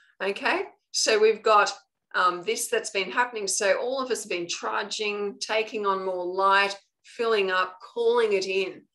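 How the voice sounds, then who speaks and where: A woman speaks with an Australian accent at a fairly slow pace. Her intonation is fairly even, and the background is quiet. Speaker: spiritual coach. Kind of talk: live online training talk. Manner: casual, conversational.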